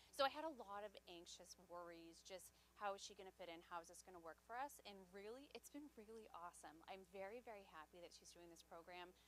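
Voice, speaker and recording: A woman at medium pitch, fairly quick with hardly any pauses, lively intonation and big swings in loudness. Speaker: parent of kindergartner. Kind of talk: informational session testimony. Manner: unprepared, casual.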